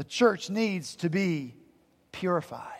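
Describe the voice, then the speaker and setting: In an Appalachian accent, a man talks at a fairly slow pace with lively intonation. The recording is very clean, with a silent background. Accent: Southern US, Appalachian. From Appalachian mountains, US South. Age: 50s. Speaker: pastor. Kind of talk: sermon. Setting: church.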